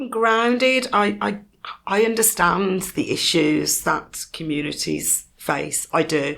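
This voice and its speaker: In a Birmingham accent, a woman speaks at a very slow pace with very wide pitch swings. Vocal fry runs through her voice. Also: medium pitch for a woman. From Birmingham, England. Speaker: community foundation leader. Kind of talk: podcast interview. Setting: podcast studio.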